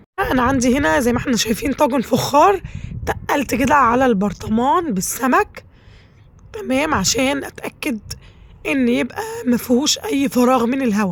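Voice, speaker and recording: Over noticeable background noise, a woman talks at a moderate pace in a high pitch with very wide pitch swings. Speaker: cooking channel host. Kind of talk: cooking tutorial. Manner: chatty, conversational.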